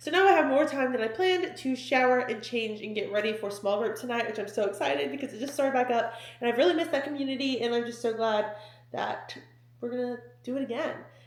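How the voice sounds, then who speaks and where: A woman talks at a very fast pace in an animated tone with a high pitch. Audible room echo and noticeable background noise surround her. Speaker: lifestyle and fitness vlogger. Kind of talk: casual vlog talking to camera.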